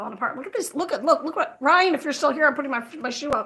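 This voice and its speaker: Extremely high for a woman, her raised, projected voice has a bright, sharp tone, lively intonation, a very fast pace and an American accent. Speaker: crochet livestreamer. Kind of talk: casual livestream chat. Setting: livestream.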